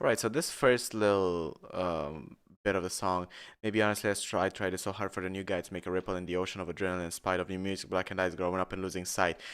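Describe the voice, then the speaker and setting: With a Romanian accent and a very deep, low pitch, a man talks at a very fast pace in fairly even intonation, recorded very cleanly against a silent background. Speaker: musician streamer. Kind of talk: casual song breakdown commentary.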